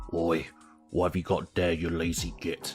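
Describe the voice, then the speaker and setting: Growling through a put-on character voice, the speaker keeps a moderate pace. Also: man, very deep, low pitch for a man. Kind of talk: rough, casual slang.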